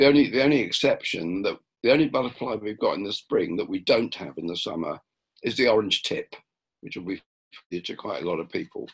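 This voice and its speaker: A man speaks at a very fast pace, and the background is quiet. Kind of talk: lecture. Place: home room. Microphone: webcam.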